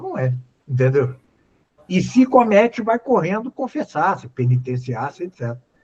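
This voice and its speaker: A man speaks at a moderate pace with lively intonation and a somewhat breathy quality. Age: 70s. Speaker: philosophy professor. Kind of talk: lecture-style Q&A on a live stream. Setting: live stream. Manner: halting, many fillers.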